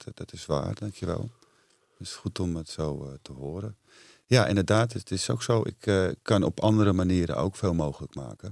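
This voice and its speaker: A man with a very deep, low pitch and vocal fry uses lively intonation, recorded dry and close with no echo. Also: moderate pace, big swings in loudness. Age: 40s. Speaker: entrepreneur and retreat center owner. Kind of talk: casual interview.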